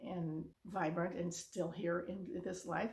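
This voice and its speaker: A woman speaks in a fairly low pitch with a somewhat breathy sound. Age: 70s. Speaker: vlogger giving life advice to seniors. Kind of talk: casual direct-to-camera monologue. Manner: halting, with many restarts and fillers.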